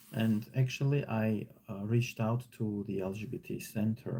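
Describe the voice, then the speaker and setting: In an Armenian accent, a man speaks at a moderate pace with a medium-pitched, somewhat breathy voice, a dark, mellow tone and ordinary pitch variation. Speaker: online teacher. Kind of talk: live stream reading and commentary. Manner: casual, hesitant with fillers.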